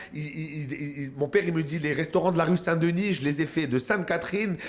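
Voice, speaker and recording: A man talking at a fairly quick pace with ordinary pitch variation, over noticeable background noise. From Quebec, Montreal. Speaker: comedian. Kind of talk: casual chat. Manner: animated.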